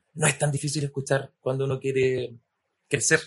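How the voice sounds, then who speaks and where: His pitch is medium. The man's voice has a somewhat breathy quality. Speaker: podcast host. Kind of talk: interview conversation.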